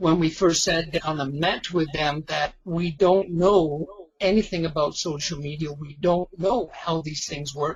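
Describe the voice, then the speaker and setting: An unremarkable speaking voice talks at a fairly slow pace with fairly even intonation. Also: man. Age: 60s. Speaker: retired online marketing affiliate. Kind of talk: webinar interview. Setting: webinar call.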